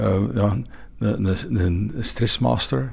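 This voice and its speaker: A man's dark, mellow, somewhat breathy voice. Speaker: sommelier and event organiser. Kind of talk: interview. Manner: halting.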